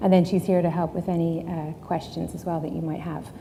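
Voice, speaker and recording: This woman talks at a fairly quick pace with a dark, mellow tone and monotone, flat intonation. Audible room echo surrounds her voice. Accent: Irish. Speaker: sustainability consultant. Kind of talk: conference talk. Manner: frequent filler ums.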